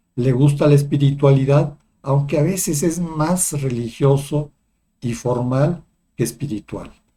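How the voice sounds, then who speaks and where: A man speaks at a very slow pace in a fairly high voice. His tone is dark and mellow, and somewhat breathy. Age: 60s. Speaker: psychologist and spiritual video host. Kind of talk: personal testimony monologue. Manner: hesitant with fillers.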